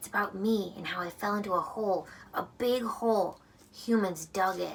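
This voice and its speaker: A woman puts on a character voice, speaking quietly at a medium pitch. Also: moderate pace. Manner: lowered, hushed voice.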